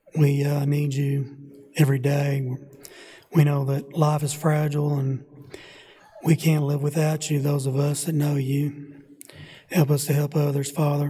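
This man's voice sits at a fairly high pitch, moving at a fairly slow pace in a monotone, flat intonation broken by long, frequent pauses. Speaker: church member leading prayer. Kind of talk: prayer. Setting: church. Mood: earnest, solemn. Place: church.

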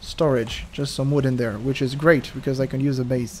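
Noticeable background noise is present. The speaker is a man. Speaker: gaming youtuber. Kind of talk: gameplay commentary. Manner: animated; quiet at times.

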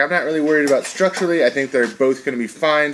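Light background noise behind a man's voice. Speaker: shop video host. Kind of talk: casual tutorial talk. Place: workshop.

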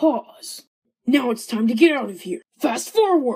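Putting on a raspy character voice, a woman speaks high and fairly slowly, her pitch swinging very widely. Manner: sneering, mocking.

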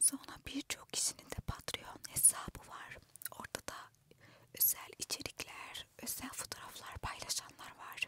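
Whispering, a woman goes at a fairly slow pace. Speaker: ASMR content creator. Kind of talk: casual talk to camera. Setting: inside a parked car. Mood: reflective, self-questioning. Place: car. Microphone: handheld.

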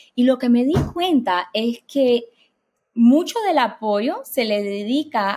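The background stays quiet. A woman's intonation rises and falls in a lively way. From Cuban-American immigrant family. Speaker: developmental psychologist; guest. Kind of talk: interview. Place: home room. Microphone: webcam.

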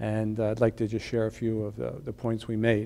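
This man speaks with a dark, mellow tone. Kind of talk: interview statement.

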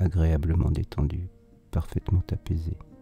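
A man speaks very slowly in a very deep, low voice with fairly even intonation and a calm, soothing tone. The sound is dry and close with no echo, and music plays in the background. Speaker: hypnotherapist. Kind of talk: hypnosis induction session. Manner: slow, calm, soothing.

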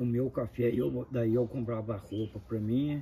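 Fairly level intonation from a man at a medium pitch. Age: 50s. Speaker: uncle telling family history. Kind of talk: oral history interview.

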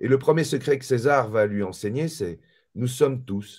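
Over a quiet background, a man talks at a fairly slow pace. His intonation is lively. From mixed Malagasy-French background. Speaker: author and spiritual teacher; spiritual teacher. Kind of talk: casual interview. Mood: calm, reflective. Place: home room.

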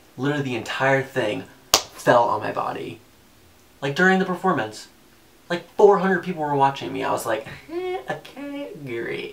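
A man with an American accent talks at a moderate pace in an animated tone, with light background noise. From US South, Macon, Georgia; Georgia. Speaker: student / musical theater performer; interviewee. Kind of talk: casual self-introduction video. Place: home room.

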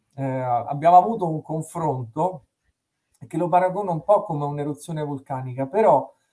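A man's high-pitched, dark, mellow voice with lively intonation over a quiet background. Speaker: stream host. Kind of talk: casual interview introduction. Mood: warm, reflective. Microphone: video call.

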